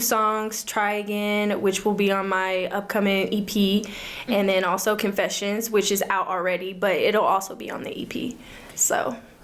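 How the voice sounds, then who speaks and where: With audible room echo, a woman speaks at a moderate pace in a medium pitch with fairly even intonation. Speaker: singer-songwriter. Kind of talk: casual interview chat.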